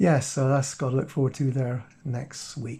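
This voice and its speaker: A man at a moderate pace with a quiet background. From Cornwall, England. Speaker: watch and vlog youtuber. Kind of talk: casual vlog talk to camera.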